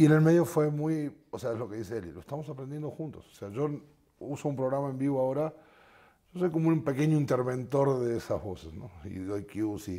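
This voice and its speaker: The voice has a dark, mellow tone, lively intonation and big swings in loudness, moving at a fairly quick pace over a quiet background. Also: man. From Argentina. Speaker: musician; guest. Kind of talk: interview. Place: studio. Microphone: lapel.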